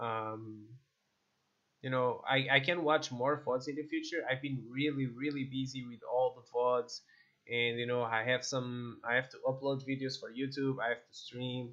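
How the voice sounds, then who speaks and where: Flat, monotone delivery with big swings in loudness, in a Portuguese accent. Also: man, medium pitch for a man, moderate pace. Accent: non-native English, Portuguese. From Portugal. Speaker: esports coach and streamer. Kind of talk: gameplay video review; sales pitch for coaching. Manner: halting, many fillers and repeats.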